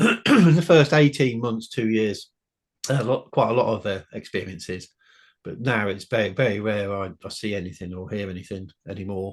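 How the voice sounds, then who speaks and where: A man with a plain, everyday voice and a fairly low pitch talks with lively intonation and big swings in loudness on a very clean recording with a silent background. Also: moderate pace. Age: 60s. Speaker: author and UFO witness. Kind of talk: interview.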